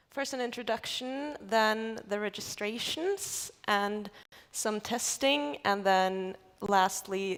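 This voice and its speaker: A woman at a very slow pace, medium pitch and ordinary pitch variation, in a very clean recording with a silent background. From Norway, Oslo area. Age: 20s. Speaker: architecture graduate presenting thesis. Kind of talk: conference talk.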